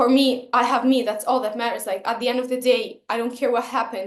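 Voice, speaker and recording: Delivered at a fairly quick pace, the speech holds a fairly even intonation. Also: woman. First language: not English. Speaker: vlogger. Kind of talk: personal vlog monologue. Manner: halting, with self-corrections and fillers.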